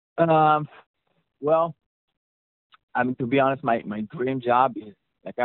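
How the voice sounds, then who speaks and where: The speaker talks at a moderate pace with an Israeli accent. Pitch rises and falls in an ordinary way. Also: man. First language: Hebrew. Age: 20s. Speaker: mixing engineer. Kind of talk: interview. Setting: California.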